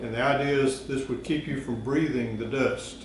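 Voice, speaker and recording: This man talks at a moderate pace with fairly even intonation. The room echo is audible, and there is light background noise. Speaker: presenter. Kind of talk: casual tutorial explanation. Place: garage.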